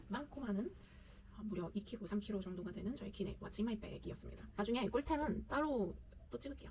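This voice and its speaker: A woman speaks quietly. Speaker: solo travel vlogger. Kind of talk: casual talk to camera. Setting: home. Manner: quiet, chatty.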